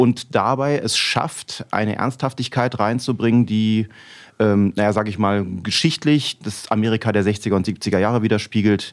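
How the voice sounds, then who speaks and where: A man speaks in a plain, everyday voice at a fairly low pitch. His pace is fairly slow, with ordinary pitch variation. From Rhineland, Germany. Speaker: musician. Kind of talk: casual chat.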